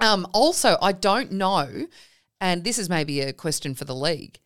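A woman with an Australian accent talks at a fairly slow pace, her fairly low voice rising and falling in a lively way. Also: very clean recording, silent background. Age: 40s. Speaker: podcast host and netball player. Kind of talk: casual chat. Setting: studio.

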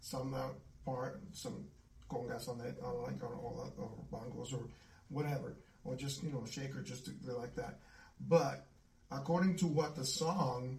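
A speaker with an American accent talks at a fairly slow pace, leaving long, frequent pauses. Pitch varies in an ordinary way, and background noise is noticeable. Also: man, medium pitch for a man. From US South. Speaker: musician. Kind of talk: casual chat.

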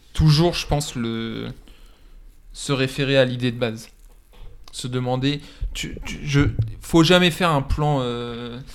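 Very slow and broken by long, frequent pauses, a man's speech carries ordinary pitch variation. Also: medium pitch for a man. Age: 20s. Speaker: film student and assistant director. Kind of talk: casual chat.

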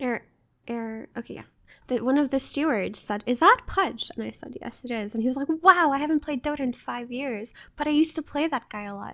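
A woman's high-pitched voice at a fairly quick pace, ordinary pitch variation and big swings in loudness, on a very clean recording with a silent background. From Jordan. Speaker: Dota talent. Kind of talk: casual chat.

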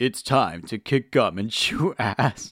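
At a fairly slow pace, the speaker delivers a put-on character voice. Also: man. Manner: gruff, cocky, swaggering.

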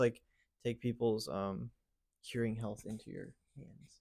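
Medium-pitched male voice in an American accent, on a very clean recording with a silent background. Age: 20s. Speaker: youth pastor. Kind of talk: casual chat.

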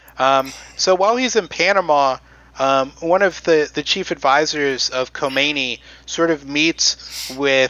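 A man with an American accent has an unremarkable speaking voice at a fairly high pitch. He talks at a fairly slow pace with ordinary pitch variation. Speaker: podcast host presenting history. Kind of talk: casual history storytelling with jokes. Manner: conversational, digressive, jokey.

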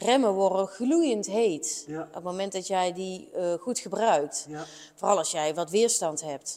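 A woman talks very slowly at a medium pitch in a dark, mellow tone. Her loudness swings widely, while her pitch variation is ordinary. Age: 30s. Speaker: motorcycle mechanic and workshop teacher. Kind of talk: interview conversation.

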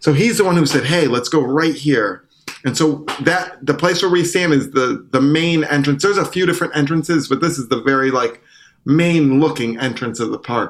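At a moderate pace, a man with an American accent and an ordinary speaking voice talks at a fairly high pitch with ordinary pitch variation. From US Northeast (Syracuse, upstate New York). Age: 30s. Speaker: trumpeter and singer-songwriter. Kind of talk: casual interview chat.

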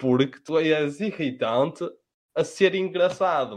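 A man's fairly high voice in a European Portuguese accent, at a very slow pace. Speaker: podcast co-host. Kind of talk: casual chat among friends.

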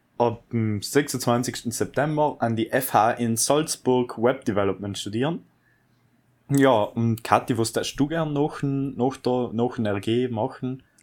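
Very slow, fairly even speech from a man, on a very clean recording with a silent background. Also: medium pitch for a man. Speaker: podcast host, recent school graduate. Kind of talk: casual chat.

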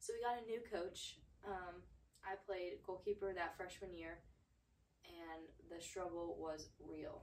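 A woman with an American accent at a fairly slow pace, long, frequent pauses and audible room echo. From US South (Georgia). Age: 20s. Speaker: podcast host, former college athlete. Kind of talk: casual solo monologue.

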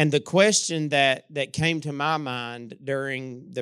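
In a very clean recording with a silent background, a man with an Appalachian accent speaks at a very slow pace. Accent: Appalachian Kentucky. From eastern Kentucky. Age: 40s. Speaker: pastor. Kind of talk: sermon. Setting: church.

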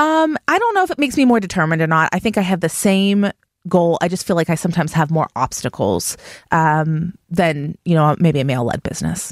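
In a plain, everyday voice with an American accent, a woman with a fairly low pitch speaks at a fairly quick pace with lively intonation and very even loudness, in a dry, close sound with no echo. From Pittsburgh, Pennsylvania. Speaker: real estate company owner. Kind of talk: interview.

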